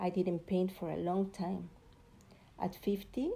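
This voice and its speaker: The voice is dark and mellow, somewhat breathy, and flat and monotone in intonation, moving at a fairly slow pace. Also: woman. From Mexico (Puebla). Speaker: visual artist. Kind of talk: recorded artist presentation.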